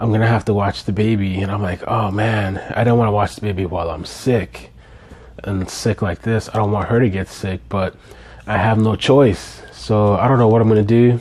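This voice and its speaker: Against noticeable background noise, the speaker keeps a moderate pace and fairly even intonation. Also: man, fairly low pitch for a man. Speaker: father. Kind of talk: casual talk to camera.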